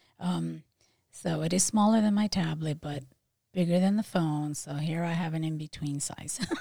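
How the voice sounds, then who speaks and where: Her very deep, low pitch and dark, mellow tone come through somewhat breathy, as this woman speaks at a moderate pace with ordinary pitch variation. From Philadelphia, moved from Puerto Rico at five or six. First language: Spanish. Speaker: realtor and nursing professor. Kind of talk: casual interview chat. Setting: studio.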